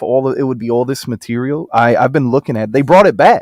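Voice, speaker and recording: A man speaks in an animated tone at medium pitch with ordinary pitch variation. The sound is dry and close, with no echo. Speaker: livestream host. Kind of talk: casual chat. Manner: loud.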